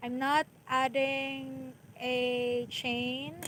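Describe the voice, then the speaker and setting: Noticeable background noise sits behind a woman. She speaks with a Filipino accent in a high pitch. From Philippines. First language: Filipino language. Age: 20s. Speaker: crochet teacher. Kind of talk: live-stream tutorial. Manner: halting.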